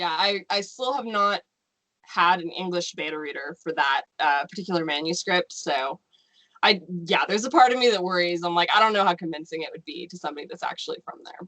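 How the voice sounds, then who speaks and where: In a normal speaking voice with an American accent, a woman speaks fairly low with ordinary pitch variation and big swings in loudness, in a dry, close sound with no echo. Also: fairly quick pace. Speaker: novelist. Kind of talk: casual chat.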